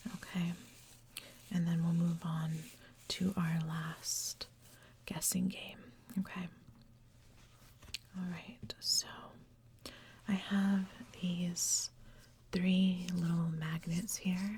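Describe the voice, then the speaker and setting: Soft-spoken whispering moves at a very slow pace, broken by long, frequent pauses. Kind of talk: ASMR guessing game. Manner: soft-spoken, whispered.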